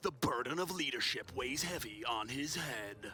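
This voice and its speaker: Using a put-on character voice in a dramatic tone, a man speaks at a moderate pace and medium pitch over clear background noise. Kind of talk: old-fashioned trailer style. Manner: dramatic, epic.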